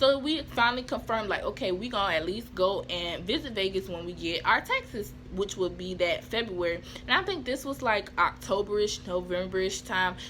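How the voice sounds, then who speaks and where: A woman talks at a fairly quick pace and a medium pitch, with lively intonation and an animated tone. Noticeable background noise runs behind her. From US Southeast, small town. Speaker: vlogger. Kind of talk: casual storytelling vlog. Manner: fast.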